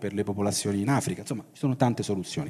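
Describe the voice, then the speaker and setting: A man speaks with a dark, mellow tone. His pitch variation is ordinary. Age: 50s. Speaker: science fiction writer and publisher; guest. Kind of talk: talk at a festival. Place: hall. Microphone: handheld.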